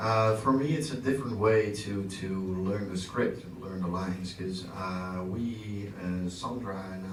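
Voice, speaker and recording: A man with a Dutch accent speaks at a fairly slow pace in a very deep, low pitch. Audible room echo and noticeable background noise surround him. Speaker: actor. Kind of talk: Q&A panel talk. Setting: stage with audience.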